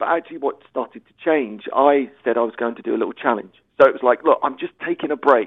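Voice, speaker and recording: Speaking at a very fast pace with an English accent, a man's loudness swings widely. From England. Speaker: author and sobriety coach, former footballer. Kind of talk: recorded interview. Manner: animated.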